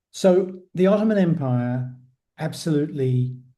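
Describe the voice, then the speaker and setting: Very slowly and with audible room echo, a man with a British accent speaks in a dark, mellow, somewhat breathy tone with ordinary pitch variation. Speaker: podcast host. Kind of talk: casual interview.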